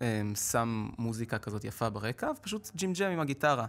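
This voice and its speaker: Here a man talks at a fairly quick pace with ordinary pitch variation. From Israel. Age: 20s. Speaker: street musician and singer; guest. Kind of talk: interview. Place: studio. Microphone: podium.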